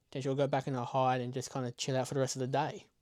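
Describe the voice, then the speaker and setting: On a very clean recording with a silent background, a man speaks quietly. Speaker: reptile keeper and wildlife YouTuber. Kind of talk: tutorial.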